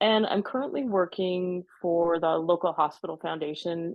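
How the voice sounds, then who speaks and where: A woman with a Canadian accent speaks in an ordinary speaking voice, her fairly low pitch showing ordinary variation at a moderate pace. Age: 60s. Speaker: peer mentor in eating disorder recovery. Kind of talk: podcast interview.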